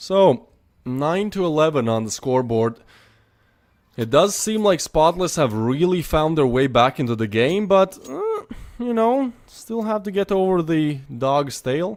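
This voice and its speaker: A man with a non-native accent, fairly high pitch, very wide pitch swings and a fairly slow pace. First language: not English. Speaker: esports caster. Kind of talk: live commentary. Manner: animated.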